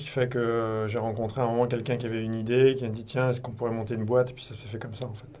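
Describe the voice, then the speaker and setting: Audible room echo surrounds a man's dark, mellow voice at a medium pitch. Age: 50s. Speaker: company executive. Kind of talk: interview.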